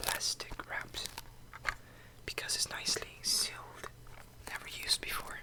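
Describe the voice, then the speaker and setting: A man whispers over noticeable background noise, keeping a moderate pace broken by long, frequent pauses. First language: not English. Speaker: ASMR creator. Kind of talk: ASMR show and tell. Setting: at a desk. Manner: soft-spoken; halting.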